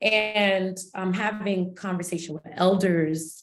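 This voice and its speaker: A woman's fairly low voice with ordinary pitch variation, in a Haitian accent. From United States, of Haitian descent. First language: Haitian Creole. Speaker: counselor and researcher, webinar panelist. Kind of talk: panel webinar discussion. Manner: animated, conversational.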